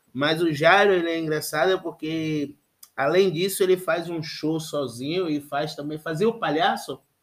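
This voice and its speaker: Using an ordinary speaking voice, a man talks at a fairly slow pace, his fairly high pitch held in fairly even intonation. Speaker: podcast host. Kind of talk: casual chat.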